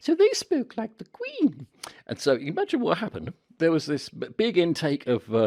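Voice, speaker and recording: In a Cockney accent, the voice comes across dry and close, with no echo. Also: man, moderate pace. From London. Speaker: media and presentation trainer. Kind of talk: casual talk to camera. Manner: chatty.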